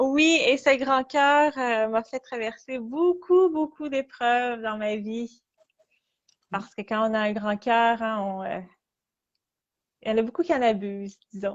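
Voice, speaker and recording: In a Quebec accent, a woman speaks at a very slow pace with a fairly high pitch, ordinary pitch variation, and long, frequent pauses. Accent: Québécois. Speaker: artist. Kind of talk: interview. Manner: halting.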